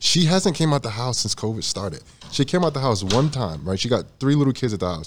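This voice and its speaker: Very fast speech from a man with an American accent, very wide pitch swings and vocal fry. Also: medium pitch for a man. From New Jersey. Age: 30s. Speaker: retired football player. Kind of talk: casual chat. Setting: live audience.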